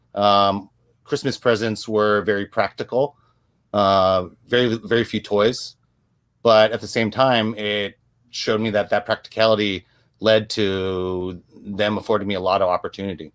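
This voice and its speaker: In a normal speaking voice, a man with an American accent and a fairly low pitch talks at a moderate pace with fairly even intonation. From US, Korean American family. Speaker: photographer and videographer. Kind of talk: interview.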